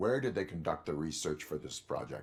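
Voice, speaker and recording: A man puts on a character voice with a very deep, low pitch. He talks at a fairly quick pace. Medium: video game. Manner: terse, flat.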